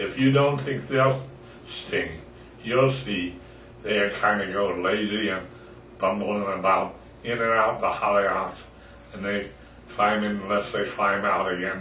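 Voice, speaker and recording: A man talks at a fairly slow pace with a fairly low pitch. Audible room echo and light background noise surround his voice. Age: 80s+. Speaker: grandfather. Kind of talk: poetry reading. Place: home room. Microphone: camera far.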